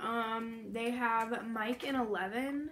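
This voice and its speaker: Noticeable background noise runs under the recording. A woman speaks with monotone, flat intonation. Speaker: candy review vlogger. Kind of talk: casual vlog chat. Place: home room. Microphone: camera far.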